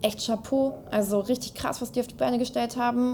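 A woman with an ordinary speaking voice, fairly quick pace and ordinary pitch variation. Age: 20s. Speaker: politician. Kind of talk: interview.

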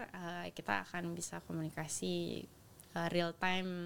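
At a fairly slow pace, a woman talks in a fairly low pitch. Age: young. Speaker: satellite project manager. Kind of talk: interview. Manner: hesitant, many fillers.

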